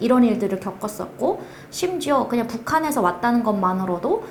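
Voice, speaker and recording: A woman with a North Korean accent, a fairly high pitch and very wide pitch swings at a fairly quick pace, with audible room echo and noticeable background noise. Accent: North Korean dialect, noticed on phone calls. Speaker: project manager, North Korean defector. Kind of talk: interview testimony.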